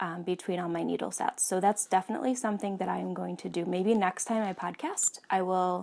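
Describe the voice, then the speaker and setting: A woman speaks at a fairly quick pace with a medium-pitched voice. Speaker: knitting podcast host. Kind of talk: casual monologue. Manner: hesitant, many fillers.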